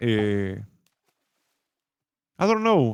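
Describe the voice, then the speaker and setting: This is a man speaking. He has a Spanish accent. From Uruguay. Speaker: streamer and content creator. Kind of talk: casual interview chat. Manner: halting.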